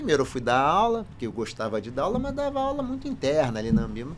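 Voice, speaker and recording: Talking at a very fast pace, a man is heard with audible room echo. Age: 60s. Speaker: finance professor and consultant. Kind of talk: podcast interview.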